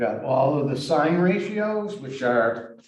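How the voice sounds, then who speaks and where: A man with a fairly high voice swings his pitch very widely, and the room echo is audible. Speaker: math teacher. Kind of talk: lecture. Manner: halting.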